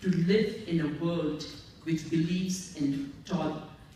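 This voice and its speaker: Amid noticeable background noise and audible room echo, a woman talks at a fairly low pitch with ordinary pitch variation. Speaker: award honoree, interfaith activist. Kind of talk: award acceptance speech. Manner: formal.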